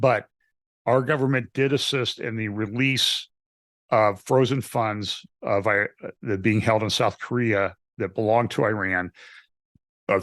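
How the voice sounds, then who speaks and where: An ordinary speaking voice at a fairly slow pace with ordinary pitch variation, dry and close with no echo, over a quiet background. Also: man. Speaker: pastor. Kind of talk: political interview.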